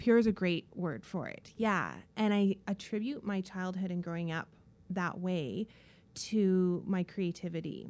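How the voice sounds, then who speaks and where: A woman with a Canadian accent speaks at a fairly slow pace in an unremarkable speaking voice, her medium pitch moving with ordinary variation. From Canada, northern British Columbia. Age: 40s. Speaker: interior designer. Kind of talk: casual chat.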